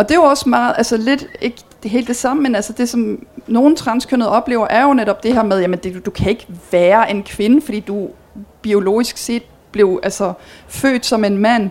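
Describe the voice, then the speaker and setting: Her voice sits fairly high for a woman. Behind the talking, there is noticeable background noise. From Belgium. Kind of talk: talk with audience Q&A.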